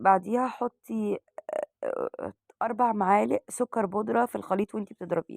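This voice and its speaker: A woman with an Egyptian accent at a moderate pace. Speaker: cooking channel host. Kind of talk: cooking tutorial. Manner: halting with fillers.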